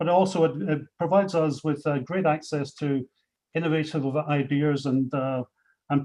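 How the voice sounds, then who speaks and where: Speaking in a Scottish accent, a man uses a dark, mellow tone at a fairly high pitch, with fairly even intonation. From Scotland. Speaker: company executive. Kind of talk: panel speech. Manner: hesitant, many fillers.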